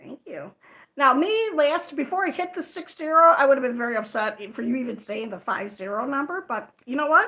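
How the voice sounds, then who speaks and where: Loud and projected, a woman with an American accent speaks at a fairly quick pace in a high-pitched, bright, sharp tone, with very wide pitch swings and big swings in loudness. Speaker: crochet livestreamer. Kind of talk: casual livestream chat. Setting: livestream. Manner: fast.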